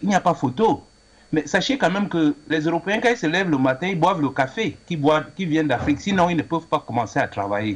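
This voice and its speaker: Lively in intonation, a man with vocal fry talks at a fairly high pitch and a fairly quick pace. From Cameroon. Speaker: caller. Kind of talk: call-in opinion.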